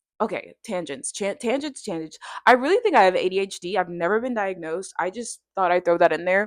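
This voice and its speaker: This woman, in a South Florida accent, talks at a fairly quick pace. Her pitch is medium, with ordinary pitch variation. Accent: American, South Florida. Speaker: vlogger. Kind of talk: casual vlog monologue. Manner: fast.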